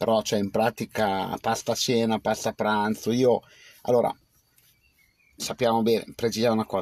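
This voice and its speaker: Using a monotone, flat intonation, a man of medium pitch speaks at a moderate pace with long, frequent pauses in a dry sound with no echo. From Piedmont, Biella area; Piedmont, Italy. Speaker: livestreamer. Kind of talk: casual live stream chat. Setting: outdoors under a cherry tree. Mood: relaxed, reflective. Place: car. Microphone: phone near.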